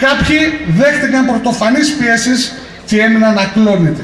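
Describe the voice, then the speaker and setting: This man talks at a fairly slow pace with an extremely high pitch and ordinary pitch variation, and there's light background noise along with audible room echo. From Greece, Skydra (Pella, Macedonia); Greece. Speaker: mayoral candidate, politician; candidate, politician. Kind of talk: campaign speech. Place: street.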